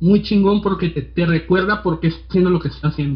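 A man speaks with music playing in the background. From Tijuana, Mexico. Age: 20s. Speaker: designer and podcaster. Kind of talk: casual chat.

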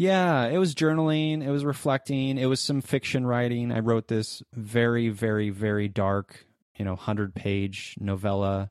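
With hardly any pauses, a man talks at a moderate pace in an ordinary speaking voice with lively intonation, on a very clean recording, silent background. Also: medium pitch for a man. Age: 30s. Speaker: podcast host and producer, guest. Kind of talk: casual interview.

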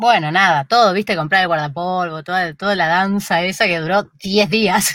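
An unremarkable speaking voice from a woman at medium pitch, with fairly even intonation and a moderate pace, in a very clean recording with a silent background. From Buenos Aires, Argentina (Flores). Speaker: YouTube creator. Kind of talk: interview conversation.

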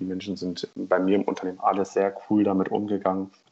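Here a man talks at a very fast pace. His pitch is fairly low. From northern Germany, Oldenburg. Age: 20s. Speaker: corporate team leader. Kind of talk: interview.

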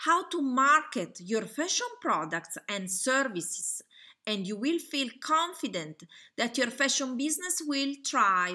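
A woman in an Italian accent uses a raised, projected voice with a bright, sharp tone and a high pitch. Her pitch swings very widely at a fairly slow pace. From Italy. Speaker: online fashion school founder and webinar presenter. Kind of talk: webinar presentation. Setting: webinar with slides, recorded online.

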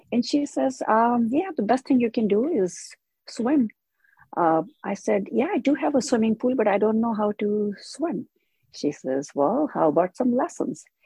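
A woman's fairly high pitch with vocal fry, very wide pitch swings and a fairly slow pace. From India. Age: 70s. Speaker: older adult who took up swimming. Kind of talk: casual interview.

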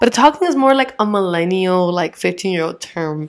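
In a very clean recording with a silent background, a woman speaks fairly quickly at a medium pitch, her tone animated and her intonation lively. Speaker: podcast co-host. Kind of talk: casual chat. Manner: animated, laughing.

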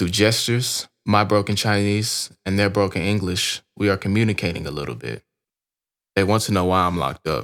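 In a very clean recording with a silent background, a man with an American accent uses a plain, everyday voice, fairly low in pitch, at a fairly quick pace with ordinary pitch variation. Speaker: author narrating his own memoir. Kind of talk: audiobook narration.

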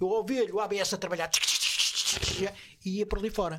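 A man talks at a moderate pace. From Portugal, Évora. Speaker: bus driver. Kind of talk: casual chat. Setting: studio.

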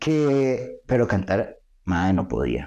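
Over a quiet background, a man talks with lively intonation. His tone is dark and mellow. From Costa Rica. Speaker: professional wrestler. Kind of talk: casual chat.

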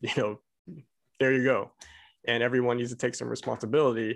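A man talks at a fairly quick pace in a medium pitch with an American accent. His intonation is monotone and flat, against a quiet background. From Texas (Abilene), Korean American. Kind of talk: casual discussion.

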